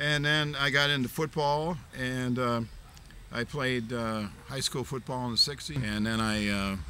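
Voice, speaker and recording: Speaking in an American accent, a man with a medium pitch and a bright, sharp tone goes at a fairly slow pace. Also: ordinary pitch variation. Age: 70s. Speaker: martial arts master. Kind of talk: interview. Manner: halting, many fillers.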